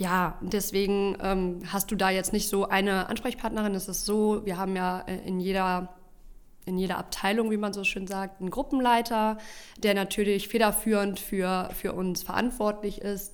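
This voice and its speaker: In a flat monotone, a woman speaks at a fairly slow pace and a medium pitch. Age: 30s. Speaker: junior consultant. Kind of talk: casual interview.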